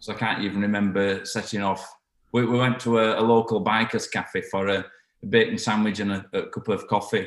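In a Yorkshire accent, a man speaks at a moderate pace with a fairly low pitch and monotone, flat intonation. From northern England, South Yorkshire. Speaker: brass band musician. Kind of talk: interview. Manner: halting.

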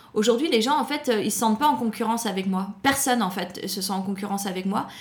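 Talking at a very fast pace, a woman with a fairly high pitch is heard over noticeable background noise. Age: 40s. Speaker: food entrepreneur and author. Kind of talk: interview. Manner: animated.

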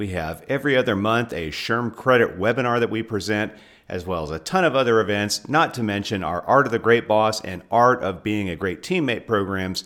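A plain, everyday voice at a fairly quick pace. The recording is very clean, with a silent background. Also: man. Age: 50s. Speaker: podcast host and HR trainer. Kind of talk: interview; podcast outro.

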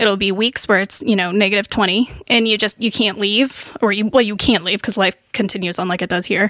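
With a normal speaking voice, a woman with an American accent talks at a fairly quick pace and medium pitch with hardly any pauses, in a dry, close sound with no echo. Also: fairly even intonation. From Wisconsin, small town. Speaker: biologist. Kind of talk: personal testimony in casual interview. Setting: home recording.

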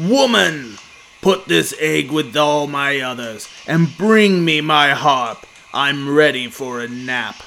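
A man in a put-on character voice booms out loudly at a very slow pace, his pitch fairly high. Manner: commanding, gruff.

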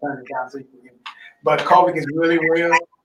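The speaker is a man. His voice is fairly high-pitched for a man. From US South, Mississippi. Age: 50s. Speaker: COVID survivor, vegan health advocate. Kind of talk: casual interview.

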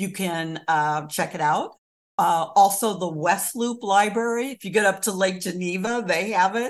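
Against a quiet background, a woman with an American accent and an ordinary speaking voice talks at a fairly slow pace and medium pitch with lively intonation. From US Midwest, rural Kansas. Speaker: local historian and author. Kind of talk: interview.

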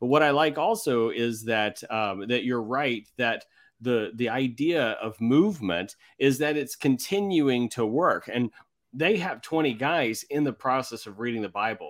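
A man with an unremarkable speaking voice talks at a fairly slow pace, his medium pitch carried by lively intonation on a very clean recording with a silent background. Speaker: podcast host. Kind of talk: interview.

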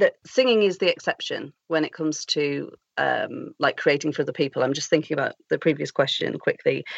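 A woman speaks at a moderate pace with a British accent. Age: 30s. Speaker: actor and first-time novelist. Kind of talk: casual interview chat.

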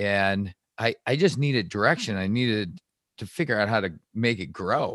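In an American accent, a man with an unremarkable speaking voice talks fairly low and at a fairly slow pace with ordinary pitch variation, the very clean recording dry and close with no echo and a silent background. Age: 40s. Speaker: podcast host. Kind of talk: casual interview.

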